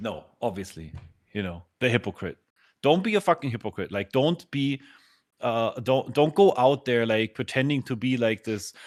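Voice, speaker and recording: With a German accent, a man speaks at medium pitch and a moderate pace with lively intonation, the sound dry and close with no echo on a very clean recording with a silent background. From Germany. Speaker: podcast host. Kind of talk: casual chat. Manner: halting.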